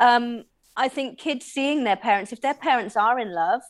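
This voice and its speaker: In a West Country accent, a woman with a fairly high pitch speaks at a moderate pace on a very clean recording with a silent background. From Bristol, England. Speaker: sex positive advocate. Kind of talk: casual interview chat.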